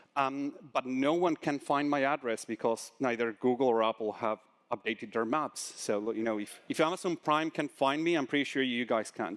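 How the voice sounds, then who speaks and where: A man with a Spanish accent talks at a medium pitch. He hardly pauses at all. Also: ordinary pitch variation, moderate pace, dry, close sound with no echo. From Argentina. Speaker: conference speaker, solutions engineer. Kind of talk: conference talk. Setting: stage with audience. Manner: animated, talks with hands.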